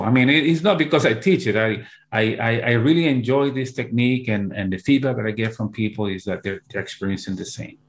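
Speaking at a moderate pace, a man with a medium pitch talks with a Spanish accent. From Peru. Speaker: hypnotherapist and hypnosis teacher; hypnosis teacher. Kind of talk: interview. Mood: warm, earnest. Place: home room. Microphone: earbuds.

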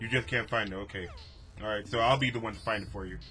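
Noticeable background noise fills the clip. Over it, a man talks. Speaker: gamer. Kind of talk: let's play commentary. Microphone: headset.

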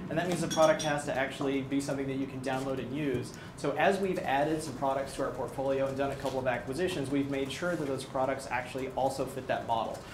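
Over noticeable background noise, a man talks at a very fast pace with a fairly high pitch, fairly even intonation and hardly any pauses. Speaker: technical product evangelist. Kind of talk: product presentation. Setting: presentation room with live audience, filmed. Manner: jokey. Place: meeting room.

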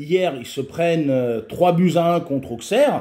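Against a quiet background, a man speaks at a very slow pace in a high pitch. His tone is dark and mellow, and his intonation lively. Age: 50s. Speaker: football video commentator and youth football coach; football video commentator, youth football coach. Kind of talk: casual solo video commentary. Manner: halting, frequent repetitions and fillers. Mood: frustrated, critical. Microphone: webcam.

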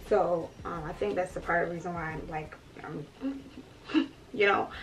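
Relaxed in tone, a woman speaks at a fairly slow pace with a fairly low pitch. Her intonation is lively, and light background noise sits underneath. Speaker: beauty influencer. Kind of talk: casual talk to camera. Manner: chatty, relaxed. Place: home room.

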